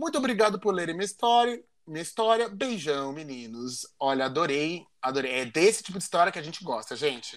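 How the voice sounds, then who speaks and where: Delivered at a fairly quick pace with hardly any pauses, the voice makes big swings in loudness and very wide swings in pitch. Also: man, high pitch for a man. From São Paulo, Brazil. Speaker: podcast co-host. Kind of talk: casual chat.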